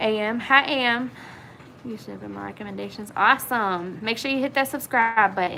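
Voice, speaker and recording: Fairly high-pitched and at a fairly quick pace, a woman talks with an American accent. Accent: southern country. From Virginia, Blue Ridge region. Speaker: YouTuber. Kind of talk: livestream chat. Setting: livestream. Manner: casual, hesitant with fillers.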